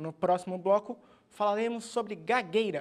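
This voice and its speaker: Ordinary pitch variation at a moderate pace. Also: man. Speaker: TV program host. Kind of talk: TV show presenting.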